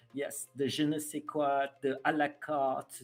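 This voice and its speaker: The speaker goes very slowly while music plays in the background. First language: French. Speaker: live streamer. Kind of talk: live stream chat. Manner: halting, many fillers.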